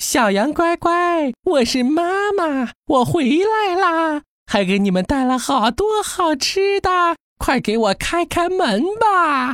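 Using a put-on character voice, a female-sounding speaker talks at a fairly slow pace with an extremely high pitch. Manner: pinched, sweet, coaxing.

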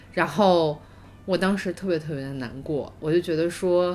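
A woman talks at a fairly slow pace. Her pitch is fairly low, with ordinary variation. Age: 30s. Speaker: podcast co-host. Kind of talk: casual chat. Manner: loud, with loud laughter.

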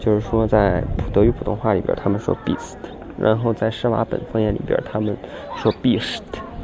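Monotone, flat intonation at a moderate pace, with music in the background. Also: man, medium pitch for a man. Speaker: podcaster. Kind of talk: casual monologue. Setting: outdoors by a lake.

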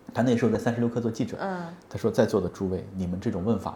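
This man speaks at a medium pitch. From Hunan, China. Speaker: podcast co-host. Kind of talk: casual chat. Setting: office.

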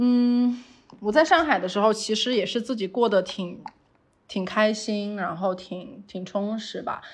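Using an ordinary speaking voice, a woman talks at a fairly slow pace and a fairly high pitch, with ordinary pitch variation. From Sichuan, China. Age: 30s. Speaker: outdoor lifestyle brand founder. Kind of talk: interview conversation. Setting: remote call.

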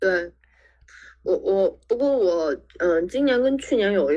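Moving at a fairly slow pace, a woman with a medium pitch speaks with very wide pitch swings. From Shaanxi, China (Xi'an). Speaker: freelance writer. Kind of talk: casual podcast conversation.

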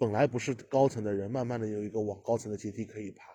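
Over a quiet background, a man talks at a very fast pace in a somewhat breathy voice with a dark, mellow tone. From Shanghai. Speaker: podcast guest. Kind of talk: casual chat. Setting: remote online recording.

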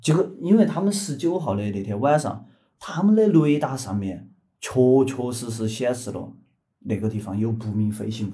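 A man with a dark, mellow tone and a medium pitch speaks at a moderate pace, somewhat breathy, his pitch swinging very widely. Audible room echo surrounds his voice. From Chengdu, Sichuan, China. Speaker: podcast co-host. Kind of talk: casual chat with storytelling.

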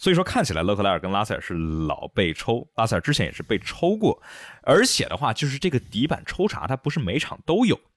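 In a dry, close recording with no echo, a man rushes along at a very fast pace with vocal fry and very wide pitch swings. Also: medium pitch for a man. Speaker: F1 podcast host. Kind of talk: casual chat, race review podcast.

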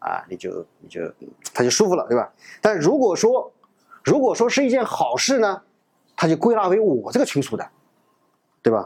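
The speech moves at a moderate pace, with long, frequent pauses and big swings in loudness. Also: man. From China, Nanjing. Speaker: lecturer. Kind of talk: lecture.

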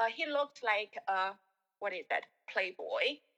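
A woman's bright, sharp tone with a Chinese accent and ordinary pitch variation. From Shanghai, China. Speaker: guest, former team leader. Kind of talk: casual chat. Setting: video call. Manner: hesitant, many fillers.

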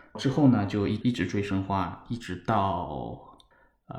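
A man with a fairly low voice and ordinary pitch variation speaks in a space with audible room echo. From Shanghai, China. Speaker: football fan. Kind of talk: casual chat. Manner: halting, repeats words.

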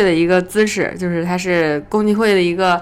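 A woman talks at a very fast pace. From Northeast China. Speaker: voice actor. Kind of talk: casual chat.

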